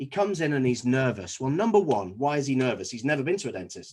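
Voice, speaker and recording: A man speaks with a Scouse accent and lively intonation. His pitch is fairly high, over a quiet background. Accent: Scouse (Liverpool English). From Liverpool, England. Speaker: dentist. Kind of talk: presentation to fellow dentists.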